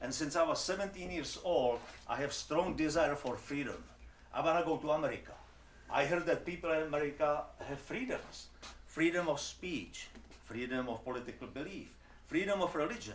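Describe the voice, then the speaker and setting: Audible room echo surrounds a man talking at a moderate pace with a fairly high pitch. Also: ordinary pitch variation. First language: Czech. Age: 70s. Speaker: immigrant speaker. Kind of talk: personal testimony talk.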